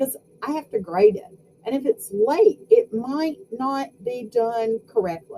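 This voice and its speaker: A woman's high-pitched voice with an American accent, very wide pitch swings and a dark, mellow tone. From US South. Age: 50s. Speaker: sociology professor. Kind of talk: lecture. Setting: home video recording. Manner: animated.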